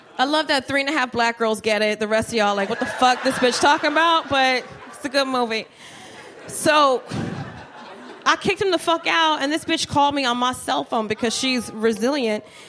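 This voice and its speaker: With an American accent, a woman speaks at a fairly quick pace in a high voice with ordinary pitch variation, over noticeable background noise. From New Jersey, Trenton. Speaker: stand-up comedian. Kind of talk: stand-up. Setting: stage with audience.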